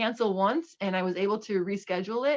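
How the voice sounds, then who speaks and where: A woman's fairly high-pitched voice at a moderate pace. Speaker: librarian. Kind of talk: virtual tour presentation. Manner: hesitant, many fillers.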